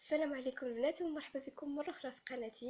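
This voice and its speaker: A woman speaks at a fairly quick pace in a high pitch. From Morocco, Essaouira and Tiznit. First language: Amazigh (Berber) (speaking Arabic). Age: 20s. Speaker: YouTuber, university student. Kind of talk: casual vlog, Q&A about herself.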